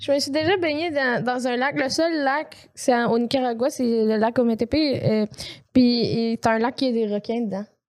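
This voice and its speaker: At a fairly slow pace, a woman with a Quebec accent speaks in a high pitch with ordinary pitch variation. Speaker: podcast co-host. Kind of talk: casual chat.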